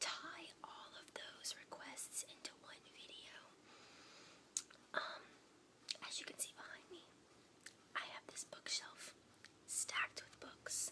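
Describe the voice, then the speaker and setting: Someone whispers at a very slow pace with long, frequent pauses. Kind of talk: casual talk to camera, introduction to ASMR video. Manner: soft-spoken, whispering.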